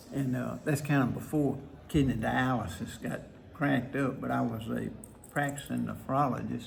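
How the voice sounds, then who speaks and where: Someone with a Mississippi accent speaks at a moderate pace. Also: man. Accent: Southern US (Mississippi). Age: 80s+. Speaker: retired nephrologist. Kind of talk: interview answer.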